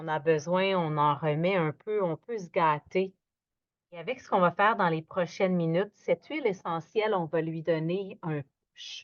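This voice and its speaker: A woman with a fairly low pitch and a gentle tone speaks at a fairly slow pace. Her loudness swings widely while her pitch varies in an ordinary way. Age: 60s. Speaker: yoga instructor. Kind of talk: guided yoga class. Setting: at home, evening. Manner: animated; lowering her voice, gentle.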